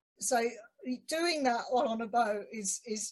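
Lively intonation, a fairly slow pace and a somewhat breathy sound. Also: woman. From UK. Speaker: podcast host. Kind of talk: casual interview. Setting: video call.

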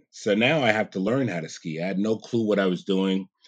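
With an American accent and a normal speaking voice, a man talks at a moderate pace in a fairly low pitch. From New York (Queens, then Catskills). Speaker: president of a skiing nonprofit. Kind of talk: interview.

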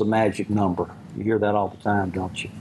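Over noticeable background noise, a man speaks fairly quickly, his pitch varying in an ordinary way. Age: 70s. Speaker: ministry leader. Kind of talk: talk to a group. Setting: lunch gathering with small audience.

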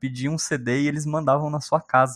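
A plain, everyday voice at a moderate pace, with a dry, close sound and no echo. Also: man. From Brazil, São Paulo state (born in Minas Gerais). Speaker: software engineer. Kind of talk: casual interview chat.

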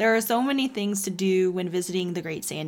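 A woman with an American accent has an unremarkable speaking voice at a medium pitch. She talks at a moderate pace with ordinary pitch variation. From Texas. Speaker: podcast co-host. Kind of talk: semi-scripted travel podcast.

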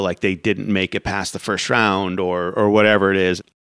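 A man with an American accent talks at a moderate pace and a fairly low pitch. He has an unremarkable speaking voice. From US Florida. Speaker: podcast host. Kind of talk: casual interview chat.

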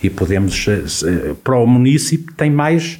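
Lively intonation colors the dark, mellow tone of a man speaking. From Portugal, Viseu district. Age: 50s. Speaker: local election candidate. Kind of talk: radio election debate. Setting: radio studio.

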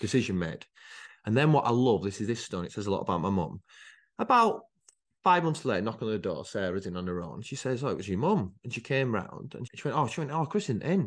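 Talking at a very fast pace, a man with a northern English accent uses a medium pitch that swings very widely. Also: quiet background. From northern England, Rochdale area. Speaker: entrepreneur. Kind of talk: casual chat. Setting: outdoors.

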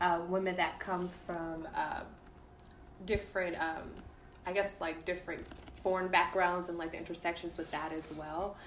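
Speaking at a moderate pace with long, frequent pauses, a woman with an American accent uses a fairly low pitch and monotone, flat intonation amid noticeable background noise. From Dallas, Texas. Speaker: guest. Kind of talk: casual chat.

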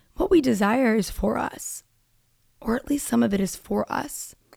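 Her voice is somewhat breathy, with a dark, mellow tone. The sound is dry and close, with no echo. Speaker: podcast host. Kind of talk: casual monologue. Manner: animated.

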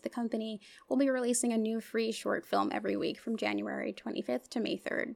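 A woman at a fairly quick pace on a very clean recording with a silent background. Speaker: podcast co-host and dance editor. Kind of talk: casual chat.

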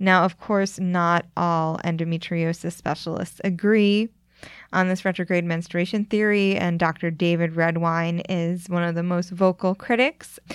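A fairly low-pitched woman with an American accent, fairly slow and monotone with flat intonation, on a very clean recording with a silent background. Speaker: podcast host. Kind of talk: scripted narration and interviewing.

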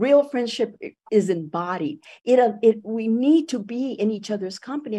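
A woman's somewhat breathy, fairly high voice with a dark, mellow tone, over a quiet background. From Puerto Rico. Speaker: education professor and activist. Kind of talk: radio interview. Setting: radio studio.

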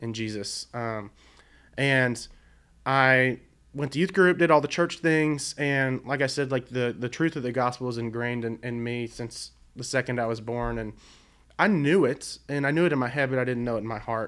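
Very clean recording with a silent background of a man with an American accent, an unremarkable speaking voice at a medium pitch and moderate pace, with ordinary pitch variation. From Virginia (Blacksburg), early childhood in southeast Arkansas. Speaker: youth ministry leader. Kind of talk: casual chat. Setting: studio.

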